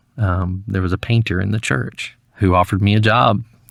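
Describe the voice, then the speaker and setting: This man has a Southern US accent and a fairly low pitch, with fairly even intonation at a moderate pace. The recording is very clean, with a silent background. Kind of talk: interview answer. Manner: mellow, smooth.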